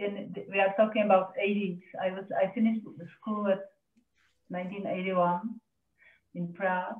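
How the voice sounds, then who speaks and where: With a Czech accent, a woman speaks in a monotone, flat intonation at a fairly slow pace, with long, frequent pauses, audible room echo, and light background noise. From Czech Republic. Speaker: glass artist. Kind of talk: online artist presentation. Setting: video call. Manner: halting. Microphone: video call.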